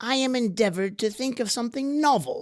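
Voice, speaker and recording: High-pitched and fairly quick, a put-on character voice comes across as female-sounding. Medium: audio drama. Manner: quiet, measured.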